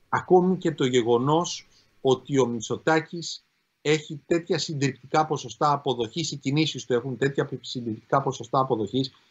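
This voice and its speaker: A man speaks at a moderate pace. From Greece. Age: 50s. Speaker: law professor and politician; law professor, politician. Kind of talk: interview. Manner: formal. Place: home room. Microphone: video call.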